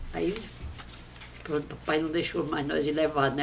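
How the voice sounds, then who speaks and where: A woman speaks with background noise clearly audible. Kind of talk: interview answer. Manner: simple, innocent storytelling.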